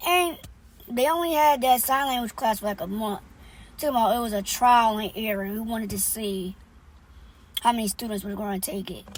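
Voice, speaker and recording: Her fairly high voice carries ordinary pitch variation as the woman keeps a moderate pace. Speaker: vlogger. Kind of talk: casual vlog talk. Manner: loud; hesitant, many fillers.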